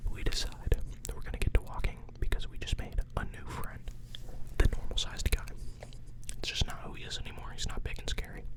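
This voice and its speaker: Someone whispers in a relaxed tone at a fairly quick pace amid noticeable background noise. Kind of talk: improvised guided imagination story. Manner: whispered, relaxed, casual.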